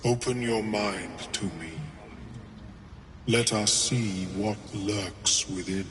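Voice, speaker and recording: A man's put-on character voice at fairly low pitch, very slow pace with long, frequent pauses, and clear background noise. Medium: video game. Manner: polite, measured, academic.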